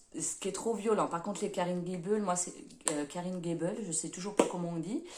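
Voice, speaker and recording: A woman talks at a fairly low pitch with fairly even intonation. Audible room echo surrounds the voice. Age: 30s. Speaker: book vlogger and nursing assistant. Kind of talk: casual self-introduction vlog. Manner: hesitant, many fillers.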